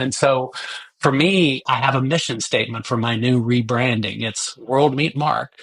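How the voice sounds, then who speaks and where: It's a man with a plain, everyday voice, medium in pitch, speaking with fairly even intonation. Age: 60s. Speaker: recovering addict sharing his story. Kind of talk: testimony. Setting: podcast interview.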